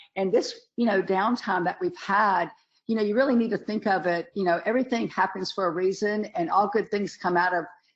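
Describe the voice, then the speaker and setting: Speaking at a moderate pace with a Southern US accent, a woman keeps a medium pitch and ordinary pitch variation. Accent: Southern US (Georgia). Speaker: dentist and webinar lecturer. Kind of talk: webinar lecture. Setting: online webinar, camera off. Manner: casual, chatty with many fillers.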